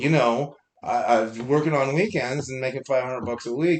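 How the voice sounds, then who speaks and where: A man with a normal speaking voice talks at a moderate pace, his pitch fairly high. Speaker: musician. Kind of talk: casual chat.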